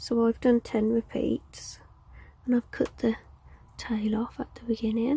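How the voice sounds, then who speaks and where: A soft-spoken woman's fairly high, monotone voice at a fairly slow pace, with long, frequent pauses and a dry, close sound free of echo. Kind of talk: tutorial.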